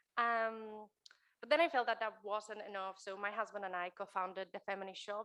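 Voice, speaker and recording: A woman with a Spanish accent talks at a moderate pace, her medium pitch carrying a bright, sharp tone and fairly even intonation. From Spain. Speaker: keynote speaker, author and entrepreneur. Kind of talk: keynote talk. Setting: stage with live audience, also streamed.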